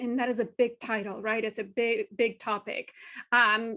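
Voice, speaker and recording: A woman with a Spanish accent speaks in a high pitch with a bright, sharp tone against a quiet background. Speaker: Spanish language professor. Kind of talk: webinar lecture.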